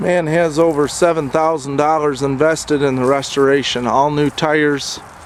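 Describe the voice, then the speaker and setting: Over noticeable background noise, a man talks at a fairly high pitch with very even loudness. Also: fairly even intonation, moderate pace. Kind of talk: sales description of a tractor for sale.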